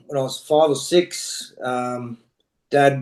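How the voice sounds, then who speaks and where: A man with an Australian accent, at a very slow pace, with fairly even intonation. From Australia (Queensland). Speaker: rugby coach. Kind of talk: casual interview.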